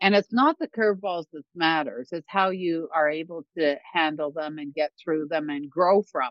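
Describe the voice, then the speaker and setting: A woman's normal speaking voice with a Canadian accent, fairly low in pitch, with ordinary pitch variation, big swings in loudness and a moderate pace. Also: hardly any pauses. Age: 60s. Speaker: songwriter and keynote speaker, former financial advisor. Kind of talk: casual interview chat.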